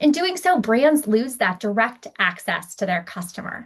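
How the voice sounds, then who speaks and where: The voice belongs to a woman. It comes across as somewhat breathy. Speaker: startup founder. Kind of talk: startup pitch.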